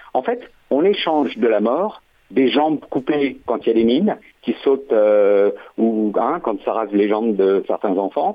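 A man with an unremarkable speaking voice talks at a medium pitch and a fairly slow pace. His intonation is lively while his loudness stays very even. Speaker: caller, former conscript. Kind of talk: radio phone-in.

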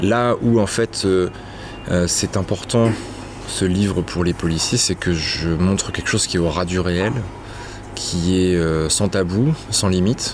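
Speaking at a very slow pace with long, frequent pauses, a man with a very deep, low voice is heard over noticeable background noise. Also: ordinary pitch variation. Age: young. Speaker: investigative journalist and author. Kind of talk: interview.

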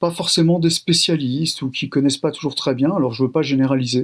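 A man's fairly high voice, fairly quick in pace, with fairly even intonation. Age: 60s. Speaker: sociologist. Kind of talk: radio interview. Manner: hesitant, many fillers.

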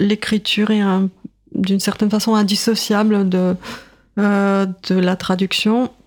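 Speaking with a Russian accent, a woman delivers her words at a fairly slow pace in a medium pitch, with monotone, flat intonation, very even loudness and long, frequent pauses. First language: Russian (speaking French). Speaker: writer and literature professor. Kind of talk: radio interview. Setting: radio studio. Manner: hesitant, many fillers.

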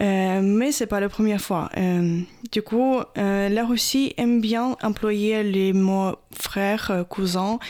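A woman speaks very slowly with a Ukrainian accent, her pitch medium and her intonation fairly even. Her loudness stays very even, and the recording is very clean with a silent background. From Ukraine, Odessa. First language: Ukrainian (speaking French). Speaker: Ukrainian expatriate. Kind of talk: radio interview.

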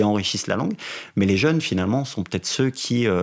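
A man talks at a very fast pace, his pitch fairly low. His pitch varies in an ordinary way. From France, Vosges (near Remiremont). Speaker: motoring journalist and cycling blogger. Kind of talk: interview.

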